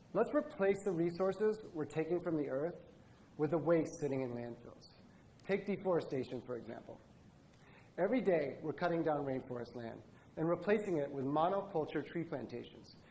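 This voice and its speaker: A man with an American accent, fairly high in pitch, with a dark, mellow tone, lively intonation and a moderate pace. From Indonesia. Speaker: product designer. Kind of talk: conference talk.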